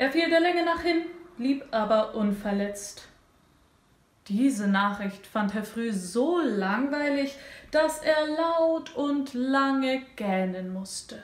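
Against audible room echo, a woman with a high pitch speaks at a very slow pace with lively intonation. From Russia. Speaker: interviewer. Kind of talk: interview. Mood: expressive, playful narration. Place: home room.

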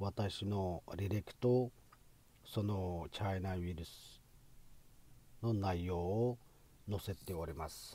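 A man's very deep, low voice, dark, mellow and somewhat breathy, with fairly even intonation, a very slow pace and long, frequent pauses. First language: Uyghur (speaking Japanese). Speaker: physician and medical lecturer. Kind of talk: educational talk.

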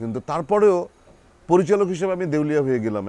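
A man is speaking. His pitch swings very widely. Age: 50s. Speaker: actor. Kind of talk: interview. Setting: drama set.

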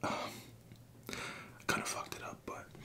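A man is whispering. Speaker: food video creator. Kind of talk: casual vlog chat. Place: home room.

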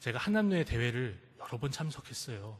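At a moderate pace, a somewhat breathy voice speaks with very wide pitch swings. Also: man. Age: 20s. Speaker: pastor. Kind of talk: sermon. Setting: church.

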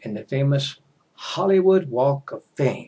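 With an American accent, a man speaks at a very slow pace, his pitch swinging very widely. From United States. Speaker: English teacher. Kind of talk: casual talk to camera for English learners. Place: home room. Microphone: headset.

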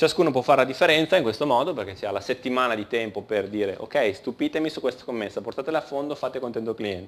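Hardly any pauses break up this man's very fast pace. His intonation is lively. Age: 30s. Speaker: conference speaker, engineering team leader; conference speaker. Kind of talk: conference talk. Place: hall.

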